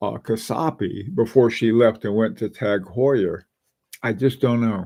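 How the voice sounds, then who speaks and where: The man's voice sits at a medium pitch with ordinary pitch variation, captured in a very clean recording over a silent background. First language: not English. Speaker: watch channel host. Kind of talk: live stream chat. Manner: halting.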